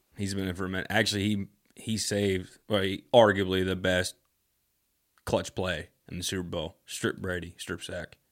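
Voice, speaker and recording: A man speaks in a very deep, low voice with a monotone, flat delivery at a moderate pace. The recording is very clean, with a silent background. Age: 20s. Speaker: podcast guest. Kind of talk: casual chat.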